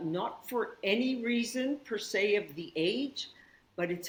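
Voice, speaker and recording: A woman with a Canadian accent, at a fairly slow pace. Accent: Canadian, kept after 36 years in Australia. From Canada, northern Saskatchewan. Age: 60s. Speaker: yoga teacher. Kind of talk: casual chat.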